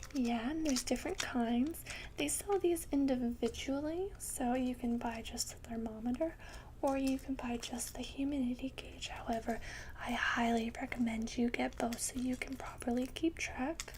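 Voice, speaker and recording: The voice is soft-spoken, at a moderate pace. Noticeable background noise runs underneath. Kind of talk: ASMR pet store roleplay, soft-spoken informative talk.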